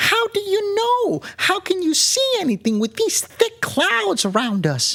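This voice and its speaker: A put-on character voice, squeaky and extremely high-pitched, at a fairly slow pace with hardly any pauses. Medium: read story. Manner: worried, complaining.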